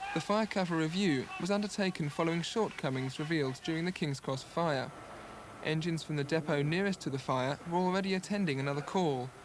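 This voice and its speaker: A man with a fairly high pitch talks fairly quickly, with ordinary pitch variation and very even loudness. Noticeable background noise runs behind him. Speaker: TV news reporter. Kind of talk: TV news report narration.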